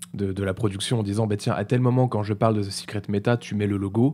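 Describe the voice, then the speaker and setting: In a very clean recording with a silent background, a man talks at a fairly quick pace. His voice is fairly low with a dark, mellow tone and ordinary pitch variation. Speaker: streamer commenting videos. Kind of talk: casual live commentary. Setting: live stream. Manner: fast.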